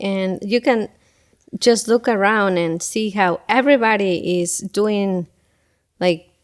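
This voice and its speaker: A woman speaks with a Spanish accent at a medium pitch and a fairly slow pace, with ordinary pitch variation. The recording is very clean, with a silent background. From Ecuador (Quito). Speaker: school event coordinator and parent. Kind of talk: casual interview chat.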